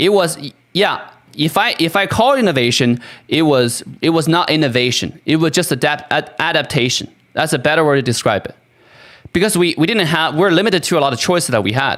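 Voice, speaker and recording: With lively intonation and a fairly quick pace, a man talks at a fairly high pitch. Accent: non-native. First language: not English. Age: 30s. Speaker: gaming streamer. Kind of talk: livestream monologue. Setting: live stream. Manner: halting, many restarts and fillers.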